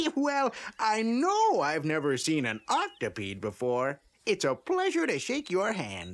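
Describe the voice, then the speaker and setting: This man uses a cartoonish character voice pitched high. He talks at a fairly slow pace. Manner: chuckling, hesitant, genial.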